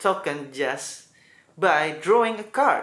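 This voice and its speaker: A man with an Indonesian accent, at a very slow pace, in a bright, sharp tone, with audible room echo. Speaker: gaming YouTuber. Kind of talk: video intro.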